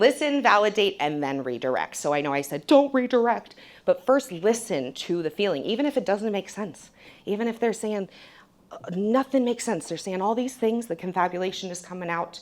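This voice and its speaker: Loud and animated, a woman speaks at a moderate pace in a medium pitch that makes very wide swings. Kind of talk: conference presentation. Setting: stage with audience.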